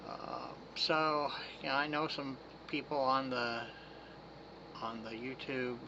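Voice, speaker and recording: A man's medium-pitched voice with fairly even intonation, long, frequent pauses and audible room echo. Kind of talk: casual talk to camera. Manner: halting, many fillers.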